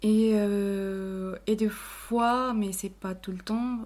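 This woman's voice sits at a medium pitch. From Colombia, Cali. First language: Spanish (speaking French). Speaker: office worker. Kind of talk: casual chat. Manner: halting.

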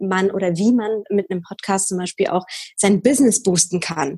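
A woman speaks at a moderate pace with a medium pitch. Her voice is somewhat breathy. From Bavaria, near Munich. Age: 20s. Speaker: podcaster. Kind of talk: interview.

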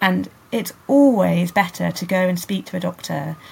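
Vocal fry runs through a woman's fairly low voice. She speaks with a British accent. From UK countryside. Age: 30s. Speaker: sex educator. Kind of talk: interview.

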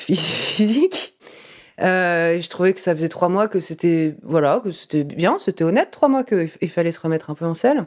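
An unremarkable speaking voice from a woman at medium pitch, with lively intonation and a fairly slow pace, on a very clean recording with a silent background. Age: 30s. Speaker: interviewee sharing a personal story. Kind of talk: testimony.

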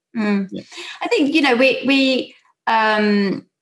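With a South London accent, a woman talks at a fairly high pitch with lively intonation. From South London, England. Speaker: podcast host and drinks brand founder.

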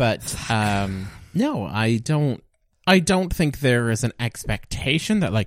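A man with a Canadian accent at a very slow pace, with very wide pitch swings and very even loudness. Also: medium pitch for a man. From Canada, Alberta and Nova Scotia. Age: 20s. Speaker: podcast guest. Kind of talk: casual chat.

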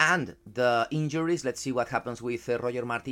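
With a Spanish accent, a man speaks at a moderate pace and a medium pitch, using ordinary pitch variation. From Spain. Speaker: football journalist. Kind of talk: casual chat. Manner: halting.

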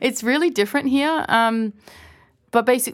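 In an Australian accent, the speaker uses lively intonation at a moderate pace on a very clean recording with a silent background. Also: woman. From Australia, small town. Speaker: DJ. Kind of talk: casual interview chat. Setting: studio.

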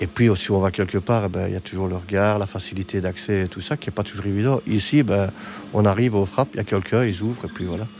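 Over noticeable background noise, a man speaks at a fairly quick pace with a fairly low pitch and fairly even intonation. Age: 50s. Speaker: hospital technician and wheelchair user. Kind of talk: interview.

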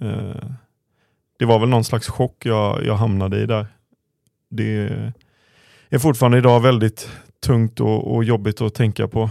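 A man with a medium pitch and a dark, mellow tone talks at a moderate pace, with fairly even intonation and long, frequent pauses. The recording is very clean, with a silent background. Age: 30s. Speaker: former footballer, podcast co-host. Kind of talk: casual chat.

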